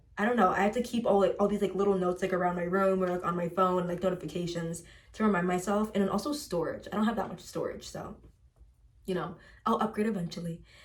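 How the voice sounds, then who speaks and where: Against noticeable background noise, a woman talks at a medium pitch. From US Midwest, Chicago suburbs. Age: 20s. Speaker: lifestyle vlogger. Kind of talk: casual chat. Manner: animated.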